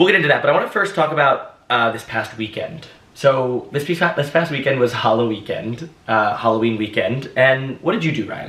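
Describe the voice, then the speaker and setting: With noticeable background noise behind him, a man speaks at a fairly quick pace and medium pitch with lively intonation. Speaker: podcast host. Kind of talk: casual interview chat. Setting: New York apartment. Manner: loud.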